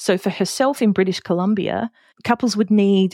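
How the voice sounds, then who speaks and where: A woman's medium-pitched voice in an Australian accent, with a very clean recording, a silent background, and a dry, close sound with no echo. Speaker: podcast host and wedding celebrant. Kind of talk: solo podcast talk. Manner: casual.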